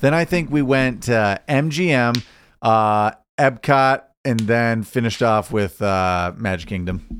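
At a fairly slow pace, a man talks with lively intonation at a medium pitch. Music plays behind him. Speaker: podcast co-host. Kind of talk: casual chat.

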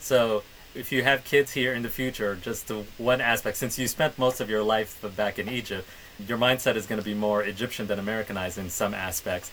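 Against noticeable background noise, a man with a fairly low pitch speaks at a fairly quick pace with fairly even intonation. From Middle East, Somali background. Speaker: podcast co-host. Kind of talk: casual chat.

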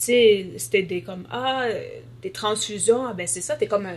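A woman speaks at a fairly slow pace. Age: 20s. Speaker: nursing student with sickle cell disease, blogger. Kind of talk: interview testimony.

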